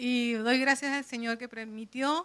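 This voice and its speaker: A woman with a Venezuelan accent speaks at a high pitch with fairly even intonation. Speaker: bible society speaker. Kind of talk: church presentation.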